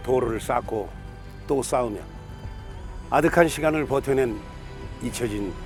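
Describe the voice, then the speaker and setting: Fairly slow speech with long, frequent pauses and ordinary pitch variation over music in the background. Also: man. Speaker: actor. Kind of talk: documentary narration.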